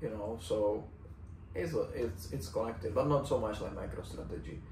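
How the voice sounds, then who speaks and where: Amid noticeable background noise and audible room echo, a man with a Czech accent talks at a moderate pace and fairly low pitch. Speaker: fitness coach and vlogger. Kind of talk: casual vlog monologue. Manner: halting, searching for words.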